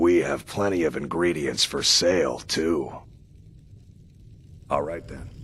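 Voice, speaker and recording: A put-on character voice from a man, raspy and very deep, at a fairly slow pace with long, frequent pauses. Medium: video game. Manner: terse, plain-spoken.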